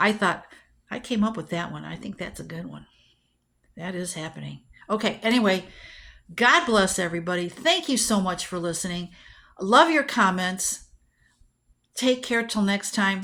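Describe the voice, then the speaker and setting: With vocal fry and a bright, sharp tone, a woman at medium pitch talks at a moderate pace with ordinary pitch variation, long, frequent pauses and big swings in loudness, on a very clean recording with a silent background. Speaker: astrology video host. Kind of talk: casual monologue.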